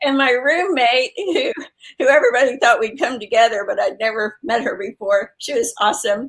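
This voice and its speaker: A woman with an American accent, high pitch, lively intonation, and a fairly quick pace. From Texas. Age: 60s. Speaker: health coach and author. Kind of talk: interview. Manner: halting, many fillers.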